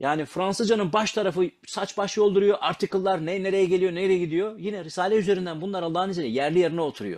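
The speech comes at a very fast pace with hardly any pauses. Pitch varies in an ordinary way against a quiet background. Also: man, high pitch for a man. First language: Kurdish (speaking Turkish). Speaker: language learning speaker; speaker. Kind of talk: casual talk about language learning.

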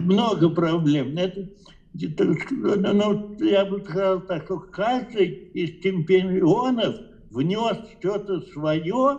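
A high-pitched man's voice at a very slow pace, with long, frequent pauses and ordinary pitch variation. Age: 80s+. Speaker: chess grandmaster. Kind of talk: interview answer. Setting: phone line. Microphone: video call.

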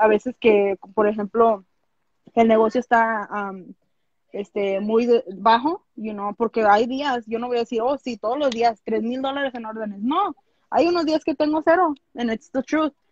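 Against a quiet background, a woman talks at a fairly slow pace and fairly high pitch, with ordinary pitch variation and a dry sound with no echo. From Los Angeles, California, Mexican-American family from Jalisco; California. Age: 20s. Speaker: small business owner; interview guest. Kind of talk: interview. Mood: candid, relaxed storytelling. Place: home room. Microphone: video call.

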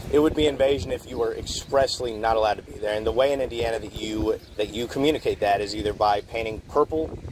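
A man talks at a very fast pace with hardly any pauses and ordinary pitch variation. The sound is dry with no echo, and there is noticeable background noise. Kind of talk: argument with an officer. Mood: firm, argumentative. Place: street. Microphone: phone near.

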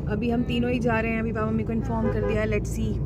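With music in the background, a woman's voice comes through dry, with no echo. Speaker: family vlogger. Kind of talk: casual vlog chat. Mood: hurried, slightly anxious. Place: car. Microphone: phone near.

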